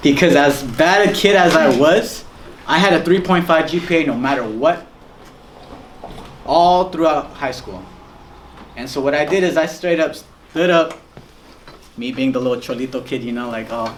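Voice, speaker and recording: A man's fairly high-pitched voice with ordinary pitch variation, long, frequent pauses, noticeable background noise and audible room echo. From Guatemala. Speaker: guest speaker. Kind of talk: testimony. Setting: school talk to students. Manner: fast.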